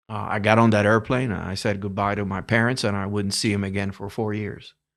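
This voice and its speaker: With a Spanish accent and a fairly low voice, a man speaks at a moderate pace with fairly even intonation in a very clean recording against a silent background. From Cuba. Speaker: retired telecommunications executive. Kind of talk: interview storytelling.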